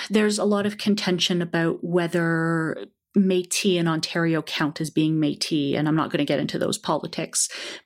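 A woman with a Canadian accent speaks at a moderate pace, with a fairly low pitch and ordinary pitch variation. She has an ordinary speaking voice, and the recording is very clean, with a silent background. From Canada, Toronto. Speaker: copy editor and proofreader. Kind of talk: casual chat.

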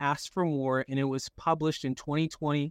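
A man with an unremarkable speaking voice talks at a fairly high pitch and a moderate pace. The sound is dry and close with no echo, over a quiet background. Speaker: live show host and negotiator. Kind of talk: live-streamed interview show. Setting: online live room.

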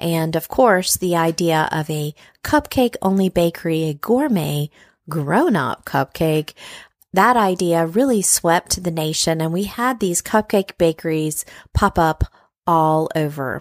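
Over a silent background in a very clean recording, a woman with an unremarkable speaking voice talks at a fairly slow pace and fairly low pitch, with ordinary pitch variation. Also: dry, close sound with no echo. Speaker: podcast host and food writer. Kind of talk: interview chat. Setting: hotel room.

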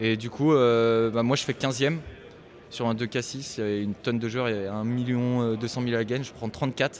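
A man speaks at a fairly slow pace in a medium pitch. His intonation is monotone and flat. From Normandy, France. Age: 20s. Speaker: poker player. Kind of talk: casual chat.

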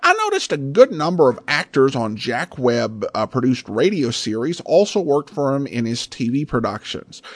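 There is noticeable background noise, with a dry, close sound and no echo. A man speaks at a fairly high pitch. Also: lively intonation, moderate pace. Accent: American. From Idaho, US. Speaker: podcast host. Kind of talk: podcast intro and outro, casual announcing.

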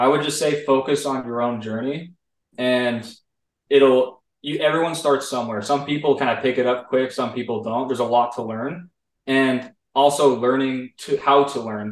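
Speaking with an American accent, a man with an ordinary speaking voice keeps a moderate pace, a medium pitch and fairly even intonation. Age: 20s. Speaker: 3D animation artist, former student. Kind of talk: interview. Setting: video call.

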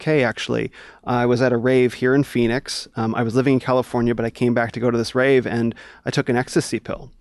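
Over a quiet background, a plain, everyday voice moves at a fairly quick pace in a dry, close sound with no echo. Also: man. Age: 40s. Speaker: former spiritual seeker and DJ. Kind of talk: interview storytelling.

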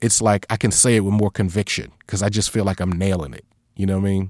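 The man has an unremarkable speaking voice at a fairly low pitch. He talks at a fairly quick pace in a dry, close sound with no echo. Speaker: podcaster and professor. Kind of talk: interview about his craft.

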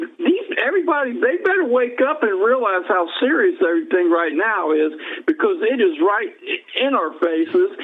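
An extremely high-pitched man's voice with very wide pitch swings at a moderate pace, over noticeable background noise. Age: 60s. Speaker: caller. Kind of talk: phone call comments. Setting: phone call. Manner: halting, repeats words.

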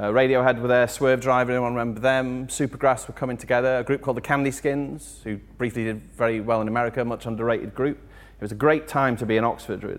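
A man with an English accent talks at a very fast pace in monotone, flat intonation, with hardly any pauses. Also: medium pitch for a man. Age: 40s. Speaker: music journalist. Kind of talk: live talk to audience. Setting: chapel with live audience.

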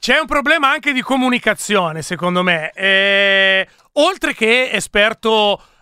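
Very even loudness, a fairly slow pace and lively intonation. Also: man, high pitch for a man. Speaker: radio host. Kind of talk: casual live radio chat, election night. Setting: studio. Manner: joking, animated.

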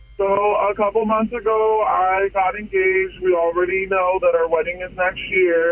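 A man's high-pitched voice at a fairly slow pace over noticeable background noise. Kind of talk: casual phone vent. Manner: conversational, aggrieved, candid.

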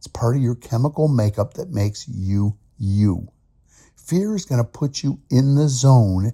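A man talks at a fairly slow pace in a somewhat breathy voice with a dark, mellow tone and lively intonation. The very clean recording has a silent background and a dry, close sound with no echo. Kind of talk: motivational pep talk. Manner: emphatic, rallying, direct address that builds momentum.

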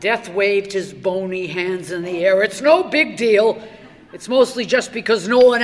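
Pitch moves an ordinary amount. The words are read aloud in a natural voice.

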